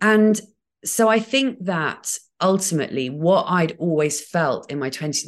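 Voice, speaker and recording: A woman with an English accent against a quiet background. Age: 40s. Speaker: podcaster. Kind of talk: casual chat. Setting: video call.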